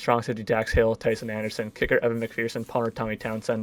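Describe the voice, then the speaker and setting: A man is speaking at a medium pitch. His pace is fairly quick. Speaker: gaming YouTuber. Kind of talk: gameplay commentary. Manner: fast; casual.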